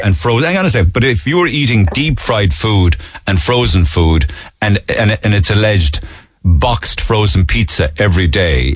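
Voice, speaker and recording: A man's fairly low voice with very wide pitch swings, very even loudness, a moderate pace and noticeable background noise. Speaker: radio show host. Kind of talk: radio phone-in interview.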